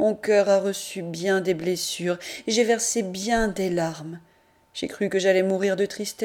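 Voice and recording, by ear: The passage is read aloud in a natural voice. Its intonation is fairly even.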